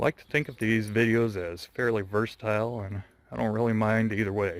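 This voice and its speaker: In an American accent, a man with a plain, everyday voice speaks at a fairly quick pace with a fairly low pitch and fairly even intonation. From US West, Las Vegas. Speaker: vlogger. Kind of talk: walking vlog narration. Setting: outdoors walking.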